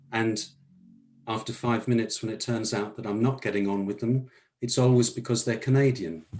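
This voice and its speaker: The speaker is a man. He talks with a southern English accent. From southern England. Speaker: workshop participant. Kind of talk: group discussion.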